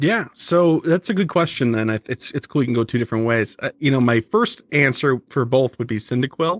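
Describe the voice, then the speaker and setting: A man at medium pitch with a plain, everyday voice, lively intonation and a fairly quick pace with hardly any pauses, in a dry, close sound with no echo. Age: 30s. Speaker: podcast host, guest. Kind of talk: casual interview chat. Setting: remote recording.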